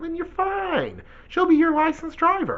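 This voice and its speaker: A man puts on a squeaky character voice at an extremely high pitch, speaking at a moderate pace. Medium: solo performance. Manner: casual, breezy.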